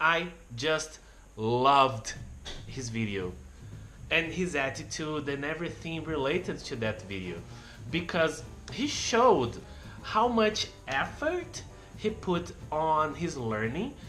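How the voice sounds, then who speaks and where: A very slow pace with long, frequent pauses and very wide pitch swings in a Brazilian Portuguese accent, with audible room echo and music in the background. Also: man, fairly high pitch for a man. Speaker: YouTuber. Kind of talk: casual vlog monologue. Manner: unscripted, halting.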